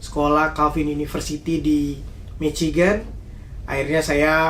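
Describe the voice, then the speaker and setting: A man with a Papuan accent, fairly high in pitch, flat and monotone, with audible room echo. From Indonesia, Papua (Jayapura) and Central Java (Salatiga). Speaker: university student. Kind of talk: interview. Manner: hesitant, many fillers.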